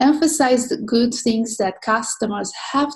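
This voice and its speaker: The voice is somewhat breathy, with a non-native accent and ordinary pitch variation. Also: woman. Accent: noticeable foreign. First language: not English. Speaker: social media mentor. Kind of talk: online mentoring talk. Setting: online session. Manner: hesitant, many fillers.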